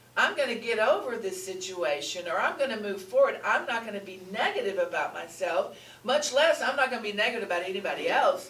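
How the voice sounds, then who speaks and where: Amid noticeable background noise and audible room echo, a woman with a fairly high pitch speaks at a fairly quick pace in an animated tone with lively intonation and hardly any pauses. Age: 70s. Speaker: spiritual teacher. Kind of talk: sermon.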